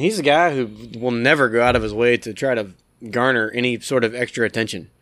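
Recorded very cleanly with a silent background, a man with an American accent talks at a moderate pace and medium pitch in an unremarkable speaking voice. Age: 40s. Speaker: sports fan co-host. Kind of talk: casual chat. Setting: outdoors in his backyard.

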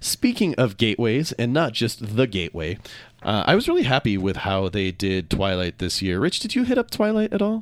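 In a very clean recording with a silent background, the speaker is a man. He has an American accent and a fairly quick pace. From Minnesota. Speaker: radio talk show host. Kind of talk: radio talk show interview.

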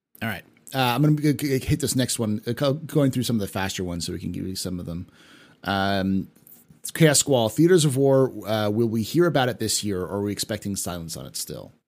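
A man with an ordinary speaking voice, medium pitch and an American accent, lively intonation at a fairly quick pace, in a very clean recording with a silent background. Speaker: livestream host. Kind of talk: casual chat. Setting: live stream.

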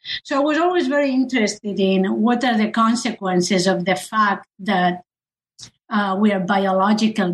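A woman's medium-pitched, somewhat breathy voice with a Spanish accent, at a moderate pace. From Spain. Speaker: historian of science. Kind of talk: interview.

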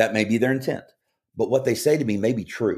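In a Kentucky accent, a man talks with ordinary pitch variation on a very clean recording with a silent background. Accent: Kentucky Southern US. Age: 40s. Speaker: former college basketball player and sports radio host. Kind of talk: casual interview chat. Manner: halting with filler words and repeats.

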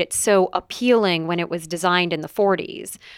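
With an American accent and an ordinary speaking voice, a woman talks at medium pitch and a moderate pace in a very clean, dry, close recording with no echo and a silent background. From United States. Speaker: English professor and author. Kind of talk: interview conversation.

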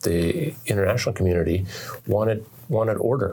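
A man with an American accent, a fairly low pitch and a somewhat breathy voice, at a moderate pace. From Oregon, US. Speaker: author. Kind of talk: interview. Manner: halting, with repetitions.

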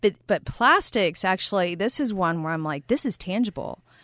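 Lively intonation from a woman with a Texan accent, medium in pitch, at a moderate pace against a quiet background. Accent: Texan American English. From Texas, US. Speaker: plastic pollution chemist. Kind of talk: interview.

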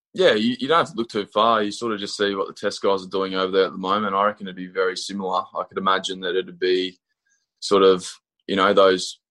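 With an Australian accent, a man speaks at a very fast pace, his fairly low voice bright and sharp in tone. The intonation is fairly even, and the background is quiet. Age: 20s. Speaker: professional cricketer. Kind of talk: interview.

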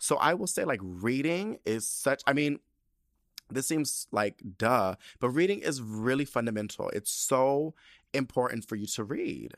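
In a very clean recording with a silent background and a dry, close sound without echo, a man of medium pitch speaks at a fairly slow pace with lively intonation and an animated tone. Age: 30s. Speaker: podcast host. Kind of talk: casual chat.

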